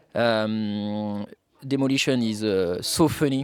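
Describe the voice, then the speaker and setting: With a French accent, a man is speaking. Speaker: esports player in the air force. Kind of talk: casual chat. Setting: outdoor barbecue. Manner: halting.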